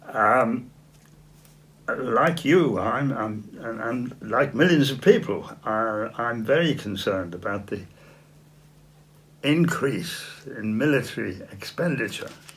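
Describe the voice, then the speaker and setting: In an English accent, the speaker goes at a very slow pace with long, frequent pauses and lively intonation, and audible room echo surrounds the voice. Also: man, medium pitch for a man. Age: 80s+. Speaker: political activist. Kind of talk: interview. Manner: halting.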